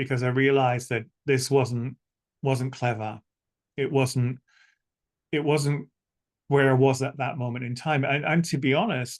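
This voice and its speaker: With a Scottish accent, a man talks at a moderate pace in a fairly high pitch, the sound dry and close with no echo. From Scotland. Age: 60s. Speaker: spiritual teacher and psychic medium. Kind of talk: interview. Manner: halting.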